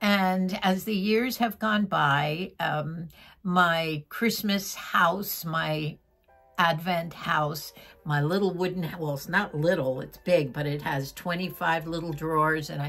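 A woman speaks at a very slow pace with a fairly low pitch. Faint music can be heard in the background. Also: ordinary pitch variation. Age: 80s+. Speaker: vlogger, retired teacher. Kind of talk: casual chat. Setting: at home. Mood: warm, nostalgic. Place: home room. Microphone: phone near.

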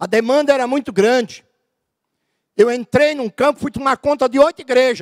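A man at an extremely high pitch, moderate pace and ordinary pitch variation, with long, frequent pauses over a quiet background. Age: 50s. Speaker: pastor. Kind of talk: sermon. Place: church. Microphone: handheld.

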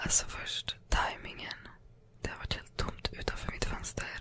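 Here a woman speaks in a whisper. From Sweden. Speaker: ASMR creator. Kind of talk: ASMR storytime, casual personal anecdotes. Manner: whispered, calming. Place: home room. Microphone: studio mic.

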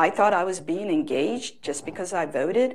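A woman's voice with lively intonation. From India, raised in US from childhood. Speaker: state legislator; panelist. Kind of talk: panel discussion. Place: stage. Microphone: lapel.

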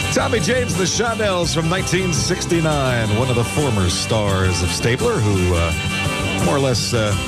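A man at a moderate pace with hardly any pauses, over loud music in the background. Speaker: radio disc jockey. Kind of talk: radio DJ aircheck patter. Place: studio. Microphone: studio mic.

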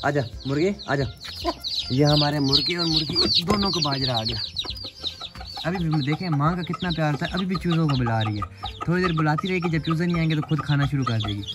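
A man's fairly high, fairly bright voice, with lively intonation at a fairly quick pace over faint background noise.

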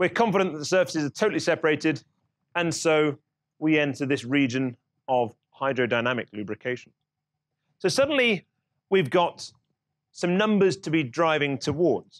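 Over a quiet background, a man speaks at a moderate pace with long, frequent pauses. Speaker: lecturer. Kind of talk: lecture. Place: classroom.

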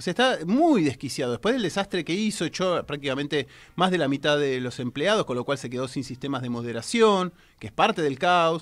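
A man talks at a fairly quick pace in a fairly high pitch with lively intonation. It is an unremarkable speaking voice, set against a quiet background. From Argentina. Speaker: technology journalist and radio columnist; technology journalist, radio columnist. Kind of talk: radio column, casual studio chat. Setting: radio studio. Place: studio. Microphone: studio mic.

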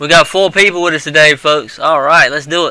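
This man has an unremarkable speaking voice with a fairly high pitch. He talks at a moderate pace with fairly even intonation. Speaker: gaming YouTuber / show host. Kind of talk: casual gameplay commentary.

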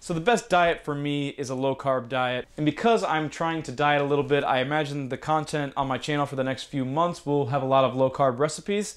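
A man at a fairly quick pace, with ordinary pitch variation, over a quiet background. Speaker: cooking channel host. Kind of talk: cooking tutorial intro. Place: kitchen.

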